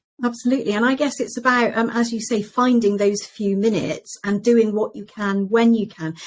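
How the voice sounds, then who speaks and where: Her voice somewhat breathy, a woman with a British accent talks at a fairly quick pace and fairly high pitch, with fairly even intonation and hardly any pauses. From Britain. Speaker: podcast host, interior designer. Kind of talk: interview.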